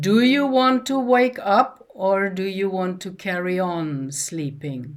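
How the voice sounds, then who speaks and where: Putting on a booming character voice, a woman swings her medium pitch very widely while keeping a moderate pace. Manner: commanding.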